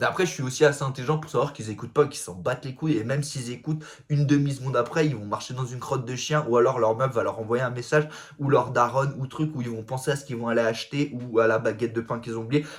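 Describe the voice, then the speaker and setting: A man talks loud and at a very fast pace. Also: medium pitch for a man, fairly even intonation. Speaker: comedic self-help influencer. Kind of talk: casual vlog monologue. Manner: loud, fast talking; casual slangy, vulgar speech.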